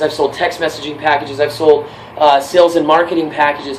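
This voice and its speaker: Fairly high for a man, this voice stays monotone and flat while racing at a very fast pace. Noticeable background noise sits behind him. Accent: American. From California. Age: 20s. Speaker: job applicant and musician. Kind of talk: job application video with mock sales pitch.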